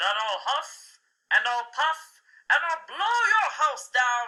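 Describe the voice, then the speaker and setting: A put-on character voice, bellowing at a high pitch and a very slow pace. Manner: roaring, menacing.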